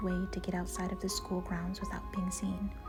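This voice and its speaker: A soft-spoken woman talks at a fairly quick pace in a calm tone. Music plays in the background. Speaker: booktuber reading a novel aloud. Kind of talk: audiobook-style reading of a novel for relaxation and sleep. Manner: soft-spoken, calm, relaxing.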